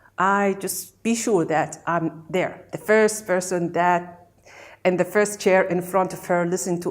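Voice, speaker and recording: The intonation stays fairly even. There is a Gulf Arabic accent. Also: woman. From Kuwait. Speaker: meditation practitioner. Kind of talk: testimony. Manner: halting.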